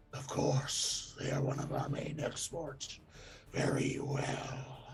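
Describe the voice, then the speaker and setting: Over loud background noise, a man growls in a put-on character voice, medium in pitch and monotone, with flat intonation. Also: fairly slow pace. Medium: actual play. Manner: imperious, cold.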